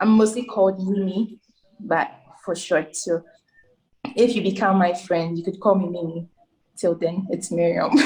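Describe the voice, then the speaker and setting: Somewhat breathy and dark, mellow in tone, a woman speaks with long, frequent pauses. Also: medium pitch for a woman, moderate pace. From Ghana. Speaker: software developer. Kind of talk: interview.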